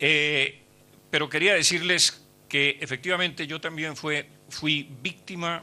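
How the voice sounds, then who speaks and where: Very slow, fairly high-pitched man's voice in a Colombian accent. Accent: Colombian Spanish accent, noticeable. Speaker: historian and former politician. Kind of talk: speech at book launch. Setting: hotel event hall with audience. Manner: halting with many fillers.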